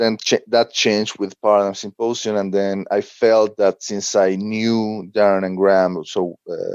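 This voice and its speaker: A man with a Spanish accent at a fairly slow pace, monotone and flat, with hardly any pauses, in a dry, close sound with no echo. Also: fairly low pitch for a man, quiet background. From Mexico. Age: 40s. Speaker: blogger and author. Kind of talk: podcast interview. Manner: halting, with many fillers.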